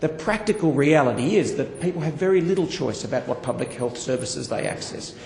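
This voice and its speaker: Over noticeable background noise, a man with an Australian accent talks at a very fast pace with hardly any pauses, lively intonation and a fairly high pitch. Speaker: politician. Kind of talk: parliamentary speech. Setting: parliament chamber. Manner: formal.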